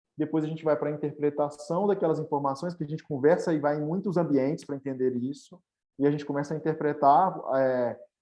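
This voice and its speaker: At a moderate pace, a man talks in a fairly high pitch with fairly even intonation. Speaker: startup executive, speaker on agile methods. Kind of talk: webinar presentation. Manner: casual, with many filler words.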